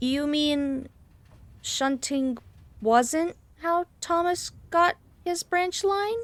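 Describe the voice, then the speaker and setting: A put-on character voice, female-sounding and high-pitched, comes at a very slow pace. Long pauses break it up often. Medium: audio drama. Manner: tired, then indignant.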